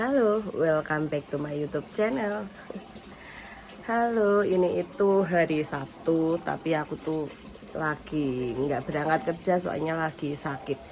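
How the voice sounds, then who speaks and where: A woman's very deep, low voice at a fairly slow pace with lively intonation, amid noticeable background noise. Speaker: vlogger, factory worker and housewife. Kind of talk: casual vlog.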